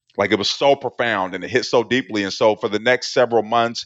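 A man with an American accent, a plain, everyday voice, and a medium pitch, at a fairly quick pace. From Portland, Oregon. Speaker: author and recovery speaker, former prisoner. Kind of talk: testimony.

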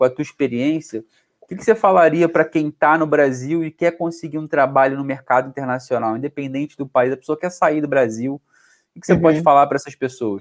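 A man with a fairly high pitch and ordinary pitch variation talks at a very fast pace, recorded dry and close with no echo. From Brazil, Rio de Janeiro. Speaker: podcast host, salesperson. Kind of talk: interview conversation. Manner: casual, enthusiastic.

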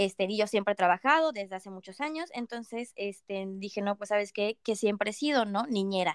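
An unremarkable speaking voice at a fairly quick pace, hardly pausing, with ordinary pitch variation and a dry, close sound without echo. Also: woman, medium pitch for a woman. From Mexico, Mérida (Yucatán). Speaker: international student. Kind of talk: interview.

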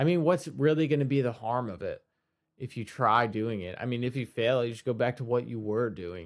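At a fairly quick pace, a man talks in a plain, everyday voice. His pitch sits at a medium level, with ordinary pitch variation. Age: 20s. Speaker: podcast host and musician. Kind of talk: solo podcast monologue. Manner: casual, with many fillers.

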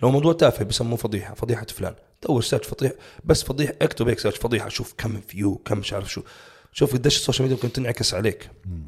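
Somewhat breathy, a man talks at a very fast pace and medium pitch with ordinary pitch variation. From Jordanian family, raised in Saudi Arabia. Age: 30s. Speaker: bodybuilding coach. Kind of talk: casual interview chat.

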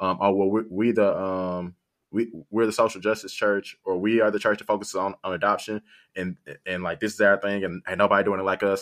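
A man at a fairly quick pace with monotone, flat intonation, in a dry, close sound with no echo and a quiet background. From South Haven, Michigan, US. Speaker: podcast co-host. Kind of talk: casual chat.

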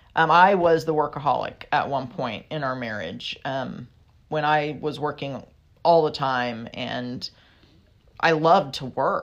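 The woman's voice sits at a very deep, low pitch. She talks at a fairly slow pace. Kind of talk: casual advice chat.

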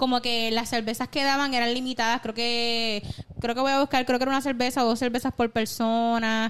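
Fairly quick pace in a monotone, flat intonation. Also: woman, high pitch for a woman. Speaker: podcast co-host. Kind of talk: casual chat.

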